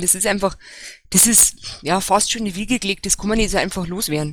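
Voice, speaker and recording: Very fast speech from a woman shows ordinary pitch variation. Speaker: local party official. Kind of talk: casual panel discussion. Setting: voice chat online.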